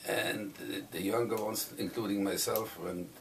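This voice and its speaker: A fairly low-pitched man with a German accent at a moderate pace, amid audible room echo and noticeable background noise. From southern Germany. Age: 80s+. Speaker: Holocaust survivor. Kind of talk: oral history testimony. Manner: halting.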